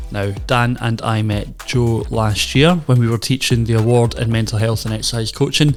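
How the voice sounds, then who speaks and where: A man speaks at a moderate pace in a medium pitch, with hardly any pauses and fairly even intonation. Music plays in the background. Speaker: podcast host. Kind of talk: podcast intro.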